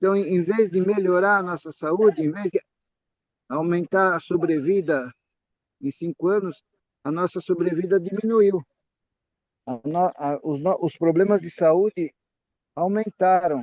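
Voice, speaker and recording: A man with a high voice talks at a fairly slow pace, leaving long, frequent pauses. His pitch varies in an ordinary way, and the sound is dry and close with no echo. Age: 70s. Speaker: physician lecturer at a Bible study. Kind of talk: health and religious talk to a group. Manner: halting, with frequent repetitions and self-corrections.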